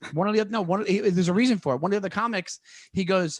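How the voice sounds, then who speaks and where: A man with a New York accent and a high pitch, on a very clean recording with a silent background. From New York, Long Island. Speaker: comedian. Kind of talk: casual interview. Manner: fast.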